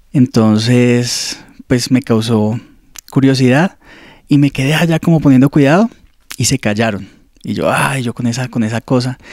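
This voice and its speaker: The speech moves at a fairly slow pace with long, frequent pauses, the sound dry with no echo against a quiet background. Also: man, ordinary pitch variation. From Colombia, Ibagué. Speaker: seminarian. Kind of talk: testimony. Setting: studio. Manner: halting. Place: office. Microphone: handheld.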